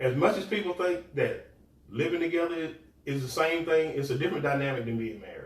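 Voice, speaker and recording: A man with fairly high pitch speaks at a fairly quick pace, with ordinary pitch variation and audible room echo. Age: 50s. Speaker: podcast co-host. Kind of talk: casual chat. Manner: halting.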